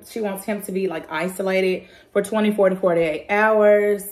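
The background is quiet. A woman's voice carries audible room echo. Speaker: family vlogger. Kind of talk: casual vlog chat. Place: kitchen. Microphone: phone near.

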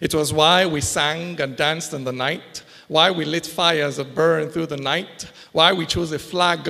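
Against a quiet background, a man speaks at a moderate pace with a fairly high pitch. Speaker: spoken word poet. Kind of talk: poetry reading. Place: stage. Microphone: handheld.

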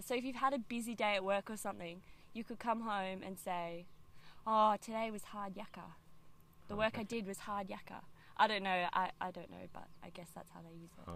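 With an Australian accent, a woman speaks at a moderate pace and medium pitch, with fairly even intonation, big swings in loudness, and a dry sound with no echo. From Canberra, Australia. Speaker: video guest teaching slang. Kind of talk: casual vlog chat. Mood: playful, laughing. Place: open country.

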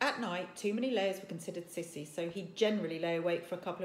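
This is an unforced reading voice. Nothing else is described.

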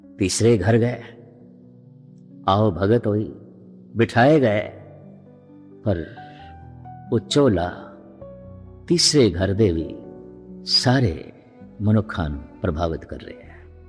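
With music in the background, a man speaks in a fairly low voice, his intonation lively and his loudness swinging widely. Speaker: Sikh preacher giving a religious discourse. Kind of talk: religious storytelling, katha.

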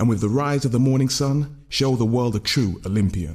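In an intense, somewhat breathy tone, a man speaks with ordinary pitch variation against a quiet background. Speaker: spoken word poet. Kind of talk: spoken word poem performance, rhythmic and rhyming. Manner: intense, rhythmic, driving delivery with dense wordplay. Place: studio. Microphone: studio mic.

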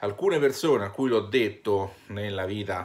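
Against a quiet background, a man speaks with a fairly low pitch and ordinary pitch variation. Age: 30s. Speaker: YouTuber and shop owner; vlogger. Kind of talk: vlog monologue. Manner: hesitant, many fillers. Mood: earnest, personal, a bit weary. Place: home room. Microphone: phone near.

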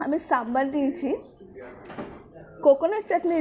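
A woman speaks in a high voice with ordinary pitch variation. Background noise is noticeable. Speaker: food vlogger. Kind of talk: casual food review vlog. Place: cafe. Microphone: lapel.

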